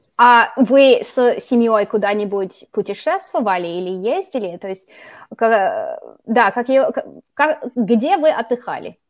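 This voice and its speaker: Over a quiet background, a woman with a high pitch and lively intonation speaks at a very slow pace. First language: English (speaking Russian). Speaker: YouTuber, Russian teacher. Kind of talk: interview; video introduction. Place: home room. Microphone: studio mic.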